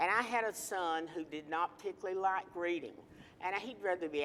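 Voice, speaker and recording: Speaking at a moderate pace, this voice comes with an Appalachian accent. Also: woman. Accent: Appalachian Southern US. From North Carolina, Ashe County (Appalachian mountains). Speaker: political talk show panelist, retired educator. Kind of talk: TV panel discussion, tribute.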